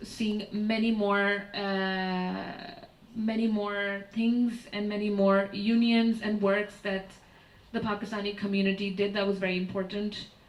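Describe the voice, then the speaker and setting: Audible room echo surrounds a woman at a medium pitch. She talks at a fairly slow pace in a monotone, flat intonation. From Pakistan. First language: Urdu. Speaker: artist and curator. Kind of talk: lecture. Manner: hesitant, many fillers.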